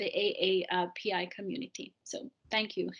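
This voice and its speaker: A woman speaks with a Jamaican accent. Her intonation is lively. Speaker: audience participant, immigrant staff member. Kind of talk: panel discussion comment. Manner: halting, many fillers.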